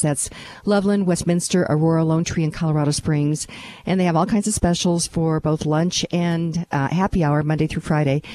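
A woman with a normal speaking voice talks at a fairly quick pace, her pitch fairly low. Her intonation stays fairly even, and her loudness is very even. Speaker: talk radio host. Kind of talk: radio talk show interview. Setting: radio studio.

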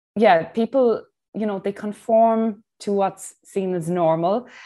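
A woman with an Irish accent and a dark, mellow tone, fairly slow and fairly even in intonation, on a very clean recording with a silent background. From Ireland. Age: 40s. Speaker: breathwork instructor and personal trainer. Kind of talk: interview.

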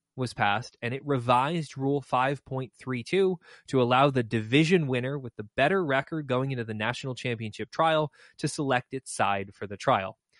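A man has a plain, everyday voice, speaking at a moderate pace with a medium pitch and ordinary pitch variation over a quiet background. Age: 30s. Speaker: mock trial podcast host and coach. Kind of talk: casual chat.

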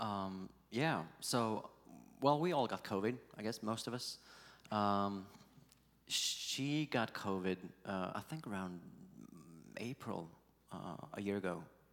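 Speaking in a Swedish accent, a man has a fairly low pitch and ordinary pitch variation, moving at a fairly slow pace with long, frequent pauses. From Sweden. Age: 40s. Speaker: pastor. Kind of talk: interview.

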